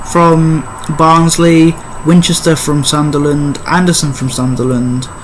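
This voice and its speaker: A man's fairly high voice at a fairly slow pace with fairly even intonation, noticeable background noise, and audible room echo. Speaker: football YouTuber. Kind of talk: casual predictions monologue. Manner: halting. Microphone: poor audio.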